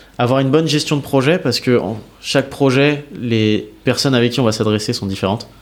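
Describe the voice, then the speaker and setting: A man talks at a fairly quick pace in a normal speaking voice. His pitch sits in the medium range, with ordinary pitch variation. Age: 30s. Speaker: revenue operations manager. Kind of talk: casual interview.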